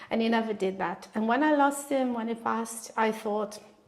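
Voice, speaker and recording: Pitch varies in an ordinary way at a fairly quick pace. Background noise is noticeable throughout. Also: woman. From northern Italy, Bologna. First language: Italian. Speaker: artist. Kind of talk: interview.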